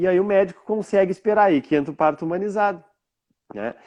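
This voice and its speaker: A man's high-pitched voice with lively intonation, dry and close with no echo against a quiet background. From southern Brazil, Rio Grande do Sul (Bagé). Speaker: therapist. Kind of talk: interview. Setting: live stream.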